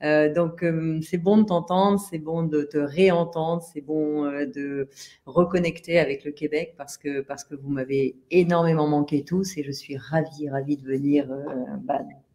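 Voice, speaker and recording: A woman speaks at a fairly slow pace with a very deep, low pitch and a dark, mellow tone. Her intonation is fairly even, while her loudness swings widely. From France. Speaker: author. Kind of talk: interview. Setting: live stream.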